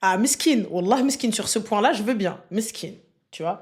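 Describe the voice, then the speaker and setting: With an animated tone, a woman swings her pitch very widely. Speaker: online streamer. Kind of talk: live stream chat reading comments. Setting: live stream. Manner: loud.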